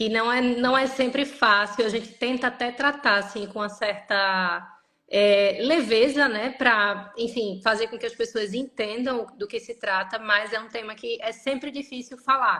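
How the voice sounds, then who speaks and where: A woman with a Recife accent speaks at a fairly slow pace with hardly any pauses, her tone bright and sharp, her pitch fairly high and her intonation fairly even. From northeastern Brazil, Recife. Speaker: lawyer. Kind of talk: interview on a live stream. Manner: halting, many fillers.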